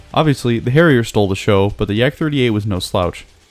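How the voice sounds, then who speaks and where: With music in the background, a man talks at a very fast pace with ordinary pitch variation. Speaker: gaming YouTuber. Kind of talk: game commentary narration.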